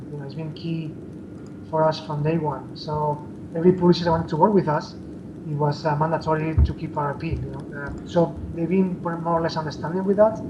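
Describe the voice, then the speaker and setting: Over noticeable background noise, a man speaks at a fairly high pitch and a fairly quick pace, monotone and flat in intonation, with big swings in loudness. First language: not English. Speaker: indie game developer. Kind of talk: interview. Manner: halting, many fillers.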